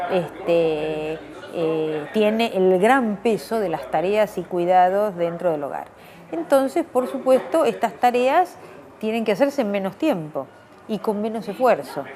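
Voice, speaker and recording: The pitch swings very widely at a fairly slow pace. Noticeable background noise runs underneath. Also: woman, medium pitch for a woman. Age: 60s. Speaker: anthropologist. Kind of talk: interview.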